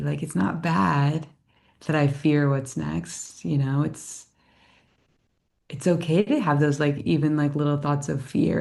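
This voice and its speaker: With an American accent, a woman talks at a very deep, low pitch and a fairly slow pace, using vocal fry. Her tone is dark and mellow, and the background is quiet. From upstate New York. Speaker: yoga teacher and life coach. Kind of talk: podcast conversation. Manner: casual, many fillers.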